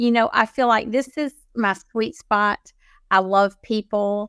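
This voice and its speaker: A woman with an ordinary speaking voice talks in a fairly high pitch with fairly even intonation. The sound is dry and close, with no echo. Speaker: podcast host. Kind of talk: casual chat. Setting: video call. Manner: warm.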